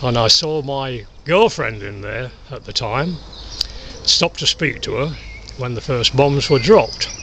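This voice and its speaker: Over noticeable background noise, a medium-pitched man with an East Midlands accent talks with lively intonation and big swings in loudness. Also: fairly slow pace. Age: 80s+. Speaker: war veteran. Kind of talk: testimony. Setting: outdoors. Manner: halting.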